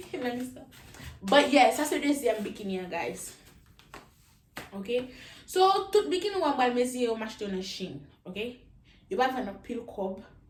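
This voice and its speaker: A woman talks in a high voice with very wide swings in pitch, leaving long, frequent pauses against noticeable background noise. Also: moderate pace, big swings in loudness. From Haiti. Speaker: YouTuber. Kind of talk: casual talk to camera, try-on haul. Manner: upbeat.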